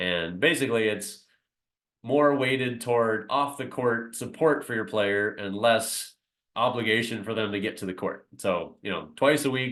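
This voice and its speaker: In an ordinary speaking voice, a man at medium pitch talks at a moderate pace with ordinary pitch variation. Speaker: basketball coach. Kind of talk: presentation to parents on a video call. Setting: video call.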